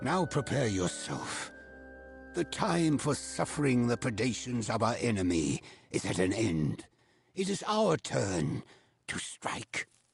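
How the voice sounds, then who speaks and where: Faint music plays behind a man doing a put-on character voice at medium pitch. He moves slowly, with very wide pitch swings. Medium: video game. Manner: formal, solemn.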